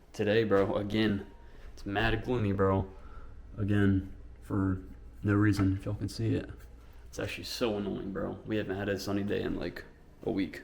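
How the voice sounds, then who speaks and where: In a room with audible echo, a man speaks at a moderate pace and a fairly low pitch, with fairly even intonation and long, frequent pauses. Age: 20s. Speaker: vlogger and day trader. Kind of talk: casual vlog. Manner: casual, slangy.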